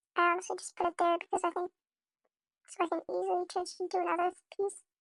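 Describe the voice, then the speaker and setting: A woman speaks at an extremely high pitch and a very fast pace in a raised, projected voice. Music plays in the background. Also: dry, close sound with no echo. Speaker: video editing tutorial creator. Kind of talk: tutorial. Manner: halting, many fillers; casual.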